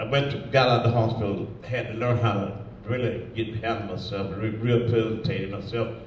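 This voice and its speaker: At a fairly quick pace, a man with an American accent speaks at a medium pitch amid noticeable background noise. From Southern US, Georgia. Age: 80s+. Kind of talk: interview answer. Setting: live audience event in a museum.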